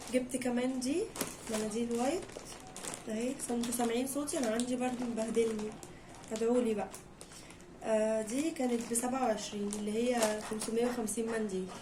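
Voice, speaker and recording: Amid noticeable background noise and audible room echo, a woman speaks at a moderate pace in a fairly high voice with fairly even intonation. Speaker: home vlogger. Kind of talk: casual haul vlog.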